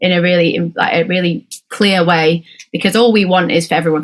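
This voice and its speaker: Her pitch is fairly low, and her intonation stays fairly even. The woman speaks at a fairly quick pace. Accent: British. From Britain. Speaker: rock band musician. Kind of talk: band interview. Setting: home bedroom studio.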